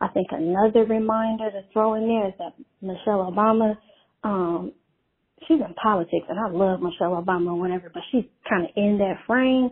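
A woman's plain, everyday voice at a medium pitch, with ordinary pitch variation and a fairly quick pace. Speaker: caller. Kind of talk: voicemail message. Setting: phone call.

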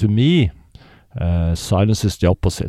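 A man with a Norwegian accent at a fairly slow pace, dark, mellow in tone, in a very clean recording with a silent background and a dry, close sound with no echo. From Norway. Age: 50s. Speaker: polar explorer. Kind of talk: casual interview. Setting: in-person interview. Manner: hesitant, many fillers.

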